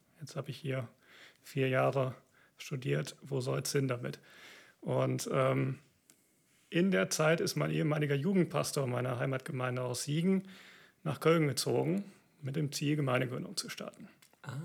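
Long, frequent pauses break up a man's moderately paced speech, which sits at a medium pitch with ordinary pitch variation. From Siegerland, North Rhine-Westphalia, Germany. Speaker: orchestra violinist and church planter. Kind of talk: interview. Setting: video recording.

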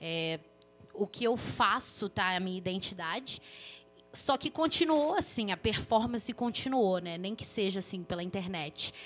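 Here a woman has a normal speaking voice at a medium pitch. She talks at a moderate pace with lively intonation. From Belo Horizonte, Brazil. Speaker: journalist and author. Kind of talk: casual chat.

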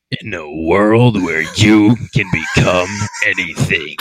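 Using a put-on character voice, a man speaks at a fairly slow pace and a fairly low pitch. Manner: dramatic movie-trailer narration.

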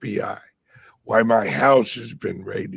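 A man speaks with vocal fry in his voice. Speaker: crypto livestream host. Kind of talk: casual livestream chat. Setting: live stream with microphone. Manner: slow.

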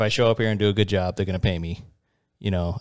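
A fairly low male voice with fairly even intonation, dry and close with no echo, on a very clean recording with a silent background. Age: 40s. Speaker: podcast co-host. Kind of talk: casual chat. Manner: laughs often.

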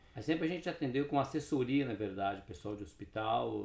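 A man's somewhat breathy voice at a moderate pace. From Brazil, Paraná (Cascavel). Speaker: neuroscientist and health product entrepreneur. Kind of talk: casual interview chat.

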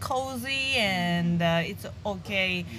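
The speaker is a woman. She talks with a Japanese accent. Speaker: stand-up comedian. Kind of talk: casual interview. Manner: laughs often.

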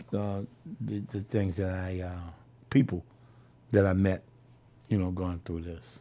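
With a New Orleans accent, a man talks at a moderate pace in a fairly low, dark, mellow voice, leaving long, frequent pauses and swinging widely in loudness on a very clean recording with a silent background. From New Orleans, Louisiana. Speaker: Vietnam veteran. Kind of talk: oral history interview. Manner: halting, with frequent repetitions.

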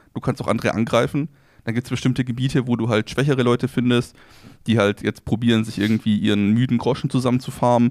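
At a very fast pace, a man speaks with a medium pitch and fairly even intonation, the sound dry and close with no echo. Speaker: podcast co-host. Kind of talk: casual chat. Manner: calm, relaxed.

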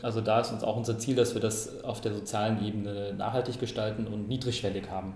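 Someone talks very fast. Noticeable background noise can be heard. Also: man. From Karlsruhe, Germany. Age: 30s. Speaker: foundation board member. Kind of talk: interview.

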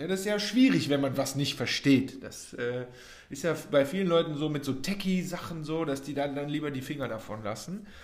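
The pace is moderate. Room echo can be heard. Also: man, fairly high pitch for a man, ordinary pitch variation. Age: 30s. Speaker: podcast host, growth hacking trainer. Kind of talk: casual solo podcast talk. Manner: animated, many fillers.

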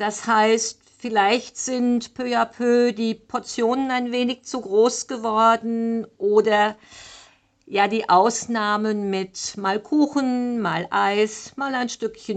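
A woman speaks at a very slow pace with a fairly high pitch. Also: quiet background. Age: 60s. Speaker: fitness and nutrition coach. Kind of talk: solo podcast monologue.

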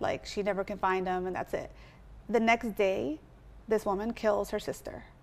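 An unremarkable speaking voice: a woman with an American accent talks at a moderate pace with fairly even intonation. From US West Coast (Southern California). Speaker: comedian and online creator. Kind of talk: casual chat.

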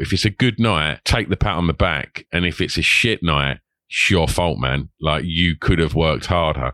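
A man with an Essex accent, a very deep, low pitch and vocal fry, at a moderate pace. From Essex, England. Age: 40s. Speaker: podcaster and club promoter. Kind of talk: casual interview. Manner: halting, repeats words.

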